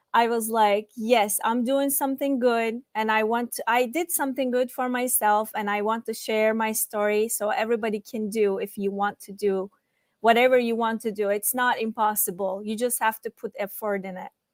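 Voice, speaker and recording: With a Turkish accent, a woman speaks at a moderate pace in a fairly high pitch and fairly even intonation, hardly pausing, in a very clean recording with a silent background and a dry, close sound with no echo. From Turkey. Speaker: student panelist. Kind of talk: panel discussion. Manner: halting.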